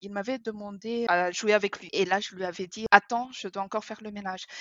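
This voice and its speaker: A woman of medium pitch, a normal speaking voice, ordinary pitch variation. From Madagascar. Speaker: author and minimalism coach. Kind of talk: casual interview.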